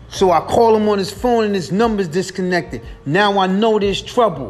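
Against noticeable background noise, a man with a high pitch talks at a moderate pace. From US inner city streets. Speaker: podcast host. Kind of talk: solo monologue. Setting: late night home recording.

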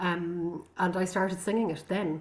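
A woman's somewhat breathy voice in a Connemara accent, medium in pitch, with fairly even intonation at a moderate pace. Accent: Irish, Connemara Irish-English. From Connemara, west of Ireland. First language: Irish. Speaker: singer and visual artist. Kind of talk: casual interview conversation. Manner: reflective, hesitant with fillers.

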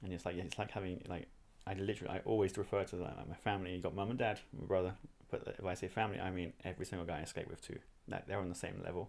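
His voice very deep and low, a man talks at a very fast pace with fairly even intonation. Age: 30s. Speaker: skateboarding coach. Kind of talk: casual interview.

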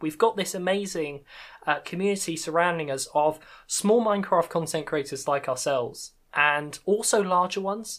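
Speaking with a British accent, a woman uses a fairly low pitch and ordinary pitch variation at a moderate pace. The recording is very clean, with a silent background. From UK. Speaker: podcast host and Minecraft content creator. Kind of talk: casual interview chat.

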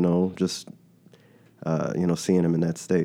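In an American accent, a man speaks with a very deep, low pitch and a dark, mellow tone, his intonation fairly even. The recording is very clean, with a silent background. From Texas, Dallas. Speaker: podcast guest sharing grief. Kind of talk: personal testimony in casual chat. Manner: halting, many repetitions.

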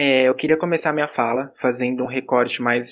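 A man's medium-pitched voice, a normal speaking voice, with fairly even intonation. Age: 20s. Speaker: psychology student. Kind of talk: podcast panel discussion.

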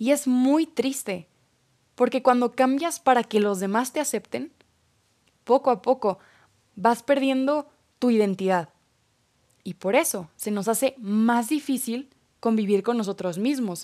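On a very clean recording with a silent background, a woman with a high pitch and dark, mellow tone speaks at a fairly slow pace, with ordinary pitch variation and long, frequent pauses. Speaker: podcast host. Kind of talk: personal reflection monologue.

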